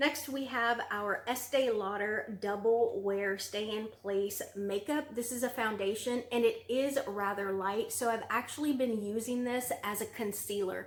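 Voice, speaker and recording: A woman's fairly high voice, fairly slow and with hardly any pauses, fairly even in intonation, over noticeable background noise. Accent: Southern US. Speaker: beauty vlogger. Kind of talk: product review vlog. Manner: casual, filler-heavy (um, like).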